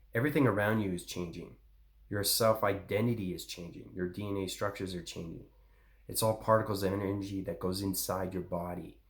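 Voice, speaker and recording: Somewhat breathy at a fairly quick pace, a man with a fairly low pitch speaks amid audible room echo. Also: fairly even intonation. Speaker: spiritual channel host. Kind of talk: spiritual monologue. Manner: fast.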